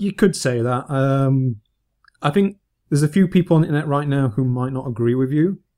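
A man with a northern English accent speaks at a fairly quick pace, his fairly high voice carrying a dark, mellow tone. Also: ordinary pitch variation. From northern England. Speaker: gaming podcast host. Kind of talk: casual chat.

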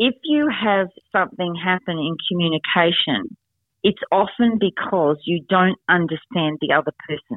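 The speaker has an Australian accent and talks at a moderate pace with lively intonation. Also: woman, medium pitch for a woman. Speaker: negotiation expert and author. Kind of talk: interview.

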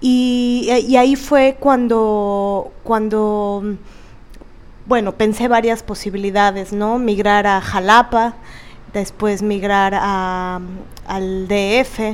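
Very slowly, a woman speaks at a fairly high pitch. Her intonation stays fairly even. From Veracruz, Mexico. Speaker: podcast co-host, theater actress. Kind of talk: casual chat.

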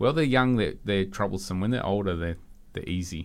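Very deep and low, a man's voice carries ordinary pitch variation on a very clean recording with a silent background. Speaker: palm nursery expert. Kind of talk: casual radio chat. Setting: studio.

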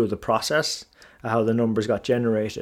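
A man talks at a fairly quick pace in an Irish accent. His medium-pitched voice stays monotone and flat. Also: very clean recording, silent background. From Ireland. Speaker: finance podcast host. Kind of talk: solo podcast monologue. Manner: casual with frequent filler words.

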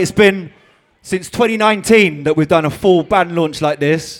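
There is an upbeat tone to this man's voice, with ordinary pitch variation. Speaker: band leader addressing a carnival band launch crowd. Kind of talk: live event emcee speech to a crowd, welcoming and explaining the carnival theme. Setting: stage with live audience at a launch party. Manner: upbeat, friendly, informal, leading the crowd in countdowns.

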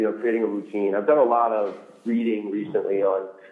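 Amid audible room echo, a man with a medium pitch speaks at a very fast pace. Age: 40s. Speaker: sales trainer. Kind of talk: interview.

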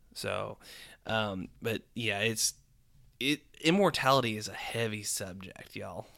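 A man speaks in a plain, everyday voice at a fairly slow pace. His pitch is medium with ordinary variation, on a very clean recording with a silent background. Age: 20s. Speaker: podcast co-host. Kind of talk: casual chat.

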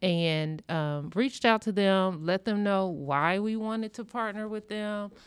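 On a very clean recording with a silent background, a woman with an American accent uses a normal speaking voice at medium pitch, moving at a fairly slow pace with hardly any pauses and ordinary pitch variation. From US Midwest, rural Illinois. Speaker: hospital pharmacist. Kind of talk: interview.

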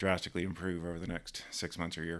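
Over a silent background in a very clean recording, a man with a Southern US accent and a very deep, low pitch talks at a very fast pace in a monotone, flat intonation. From US South (Georgia). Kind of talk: casual chat.

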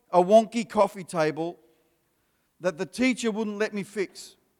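This man speaks with an Australian accent. His pace is moderate and his pitch variation ordinary. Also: long, frequent pauses. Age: 50s. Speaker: pastor. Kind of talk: sermon.

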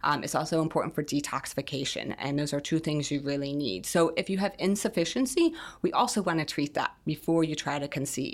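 A woman with an American accent, very deep and low-pitched, fairly quick with hardly any pauses and lively intonation. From US, Italian American family. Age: 40s. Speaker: functional medicine nutritionist and fertility coach. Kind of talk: interview.

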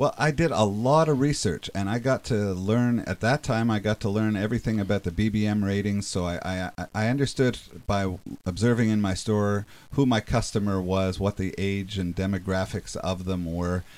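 A man talks at a moderate pace in a fairly low pitch with ordinary pitch variation. He has an unremarkable speaking voice. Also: very clean recording, silent background. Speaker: business owner, entrepreneur. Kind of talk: radio interview.

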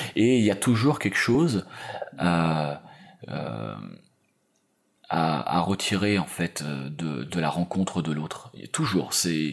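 Speaking at a very slow pace with long, frequent pauses, a man with a very deep, low pitch swings his voice very widely up and down. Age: 40s. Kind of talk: interview. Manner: halting.

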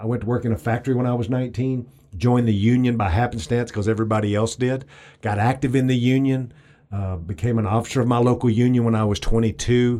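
A man with an East Texas accent speaks at a very fast pace in a dark, mellow tone. His pitch is medium with fairly even intonation, on a very clean recording with a silent background. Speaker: political campaign advisor. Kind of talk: interview.

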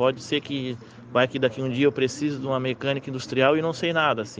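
With an unremarkable speaking voice, a man talks at a fairly quick pace and a medium pitch. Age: 30s. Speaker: underground welder. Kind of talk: interview.

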